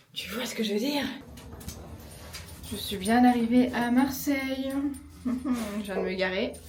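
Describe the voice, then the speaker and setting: With a Parisian accent and a high pitch, a woman speaks at a very slow pace with long, frequent pauses and fairly even intonation, amid noticeable background noise and audible room echo. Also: big swings in loudness. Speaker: travel vlogger. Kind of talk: casual vlog talk. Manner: hesitant, many fillers.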